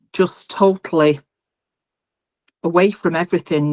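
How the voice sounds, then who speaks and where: A woman speaks at a fairly slow pace with ordinary pitch variation. The sound is dry and close, with no echo. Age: 60s. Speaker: open water swimmer. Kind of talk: interview. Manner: hesitant, many fillers.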